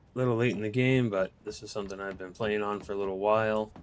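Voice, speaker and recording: A man talks at a very fast pace with an American accent. His pitch is fairly low. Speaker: gaming video creator. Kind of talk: gameplay walkthrough. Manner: casual, halting with fillers.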